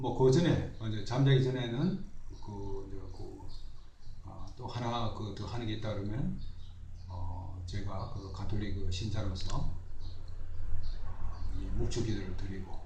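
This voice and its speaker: Very slowly, a man with a fairly low pitch and ordinary pitch variation speaks amid noticeable background noise and audible room echo. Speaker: law professor. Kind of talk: radio interview. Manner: halting, many filler words.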